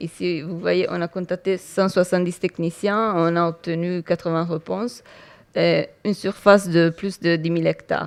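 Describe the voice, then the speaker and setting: A woman with an Italian accent speaks at a fairly slow pace in a fairly low pitch, with fairly even intonation and big swings in loudness. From Italy. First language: Italian (speaking French). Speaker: entomology researcher. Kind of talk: conference talk. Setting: conference hall with audience. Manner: halting, many hesitations.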